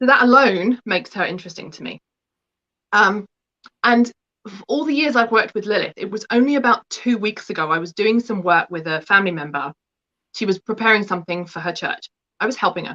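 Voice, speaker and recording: A woman with an English accent talks at a very fast pace, her medium-pitched voice bright and sharp in tone, with lively intonation and a dry, close sound with no echo. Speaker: book contributor, spiritual practitioner. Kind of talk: interview.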